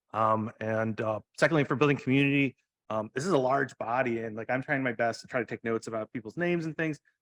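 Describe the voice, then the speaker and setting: At a very fast pace, a man with a medium pitch and ordinary pitch variation speaks in dry, close sound with no echo. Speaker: commissioner. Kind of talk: public meeting discussion. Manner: hesitant, many fillers.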